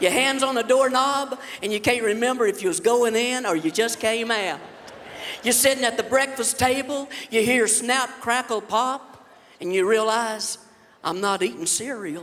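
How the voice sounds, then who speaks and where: Through noticeable background noise, a man with a Southern US accent talks at a moderate pace in an extremely high voice with ordinary pitch variation. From Alabama. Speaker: comedian. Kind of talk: stand-up. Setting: stage with audience.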